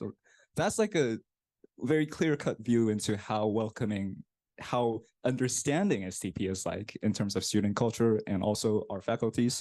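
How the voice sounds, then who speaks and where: A man with a Korean accent speaks at a moderate pace and a medium pitch. His tone is dark and mellow, with ordinary pitch variation. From South Korea. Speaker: graduate student. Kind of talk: presentation.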